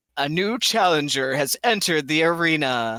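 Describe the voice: A booming put-on character voice at a moderate pace, with lively intonation. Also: man, fairly high pitch for a man.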